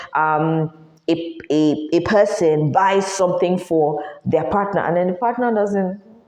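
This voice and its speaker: With audible room echo and noticeable background noise, a woman speaks at a fairly slow pace and medium pitch in an animated tone. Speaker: podcast host. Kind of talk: advice monologue.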